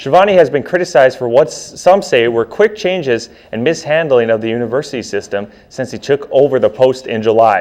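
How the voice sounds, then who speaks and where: Lively intonation carries this man's medium-pitched speech, delivered in a plain, everyday voice. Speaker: college newscast anchor. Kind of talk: college TV newscast anchor delivery.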